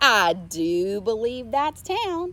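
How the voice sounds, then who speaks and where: A woman puts on a character voice at a fairly high pitch with very wide pitch swings. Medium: read story. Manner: folksy.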